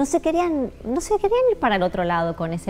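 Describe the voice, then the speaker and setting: A woman with a Rioplatense accent at a moderate pace, music in the background. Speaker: psychologist. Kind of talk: interview. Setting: studio.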